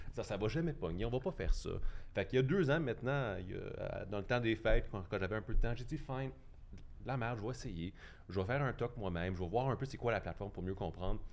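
Lively intonation marks this man's delivery at a very fast pace. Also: medium pitch for a man. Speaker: cycling and transit advocate. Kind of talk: debate.

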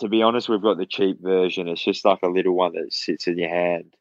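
With an Australian accent, a man talks in fairly even intonation. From Australia (Perth). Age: 20s. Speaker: mixed martial arts fighter. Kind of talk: casual interview chat.

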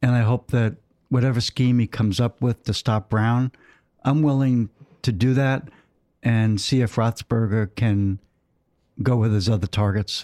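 A man with an American accent speaks in a dark, mellow tone, at a fairly slow pace and with fairly even intonation. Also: dry, close sound with no echo. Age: 70s. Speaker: host's father, sports fan. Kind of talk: casual chat.

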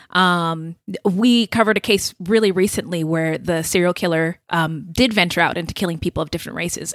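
A woman with a normal speaking voice talks at a medium pitch and fairly quick pace, with ordinary pitch variation and a dry, close sound with no echo. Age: 30s. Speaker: podcast co-host. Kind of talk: casual interview.

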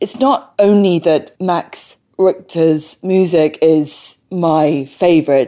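Speaking at a very slow pace, the woman has a fairly low pitch and a dark, mellow tone. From London, England. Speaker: violinist and broadcaster. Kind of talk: interview. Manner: halting, word-finding difficulty after stroke.

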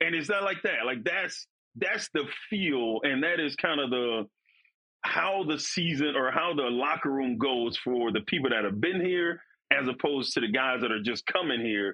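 A man with an American accent and a normal speaking voice talks at a moderate pace, his fairly high pitch carried by lively intonation and very even loudness. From Florida. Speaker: former NFL defensive lineman. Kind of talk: casual chat.

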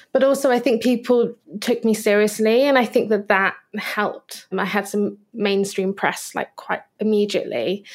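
A woman's fairly high pitch at a moderate pace, a plain, everyday voice. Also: fairly even intonation. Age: 30s. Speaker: illustrator and author. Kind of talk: interview conversation.

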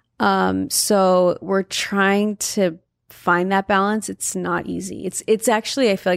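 Hardly any pauses break this speech in a Californian accent, recorded very clean with a silent background and a dry, close sound with no echo. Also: woman. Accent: Californian American. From Southern California (Valencia). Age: 30s. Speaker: model and influencer, partner of a singer. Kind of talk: casual interview chat.

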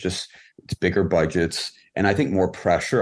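In a Californian accent, a man with a very deep, low pitch speaks at a moderate pace against a quiet background. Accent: Californian American. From Los Angeles, US. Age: 30s. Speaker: film and music video director. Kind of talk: casual interview. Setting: video call.

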